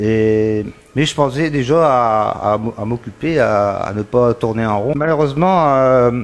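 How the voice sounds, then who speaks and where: This man speaks at a very slow pace. His pitch sits in the medium range with ordinary variation. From northern France, Pas-de-Calais (Isbergues). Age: 60s. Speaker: magnetic healer. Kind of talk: interview testimony. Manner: hesitant, many fillers and repetitions.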